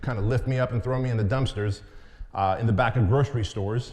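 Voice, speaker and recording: The man's voice has a somewhat breathy quality. He moves along at a fairly quick clip. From Santa Ana, California (from age six, born in Soviet Union). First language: Armenian or Russian (Soviet Union). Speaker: entrepreneur and business coach. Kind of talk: keynote talk.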